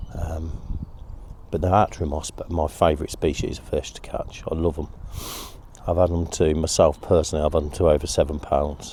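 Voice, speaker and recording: The speaker has an East Midlands accent and a relaxed tone. Delivery is fairly quick and monotone, with flat intonation. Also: man, very deep, low pitch for a man. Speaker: angling video host. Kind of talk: casual outdoor vlog narration. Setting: outdoors on a riverbank. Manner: whispering a bit; relaxed, hesitant with fillers.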